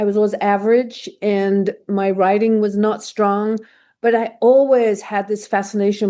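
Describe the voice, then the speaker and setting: Over a quiet background, a woman speaks at medium pitch and a moderate pace, her tone dark and mellow, her intonation monotone and flat. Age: 60s. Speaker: retirement coach and vlogger. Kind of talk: personal vlog monologue. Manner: hesitant, many fillers.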